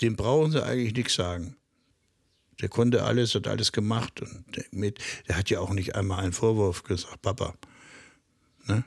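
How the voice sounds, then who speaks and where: In a very clean recording with a silent background, a man with a fairly low pitch and ordinary pitch variation speaks somewhat breathily at a moderate pace, leaving long, frequent pauses. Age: 60s. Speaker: high-wire artist. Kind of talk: interview. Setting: on location at his home.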